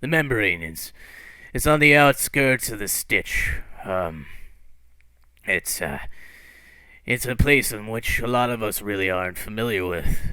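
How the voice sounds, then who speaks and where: Doing a put-on character voice, a man with a medium pitch sounds raspy and warm, his intonation lively and broken by long, frequent pauses. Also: moderate pace. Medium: actual play. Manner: warm, rambling.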